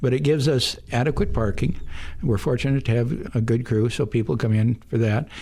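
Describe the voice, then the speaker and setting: With an American accent, a man talks at a fairly quick pace and a medium pitch. His voice is somewhat breathy, with ordinary pitch variation. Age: 70s. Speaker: bar owner. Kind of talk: radio interview. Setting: radio studio.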